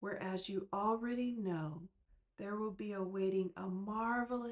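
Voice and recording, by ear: Someone is reading aloud in a natural voice. The delivery stays that way throughout.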